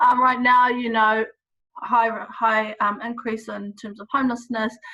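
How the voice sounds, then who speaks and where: A woman speaks in a high voice with a monotone, flat intonation. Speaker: researcher. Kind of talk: interview questions.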